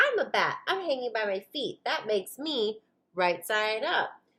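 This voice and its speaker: This woman uses a put-on character voice, high in pitch and loud. She keeps a moderate pace. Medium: read story.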